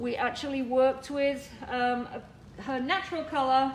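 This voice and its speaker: A loud voice with fairly even intonation rings with audible room echo. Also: woman. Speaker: hairdresser and educator. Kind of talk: tutorial.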